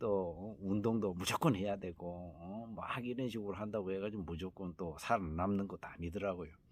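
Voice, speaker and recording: A man's very deep, low voice, relaxed in tone, with fairly even intonation. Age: 50s. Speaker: healing center host, cancer survivor. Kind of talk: casual vlog talk. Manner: relaxed, many fillers.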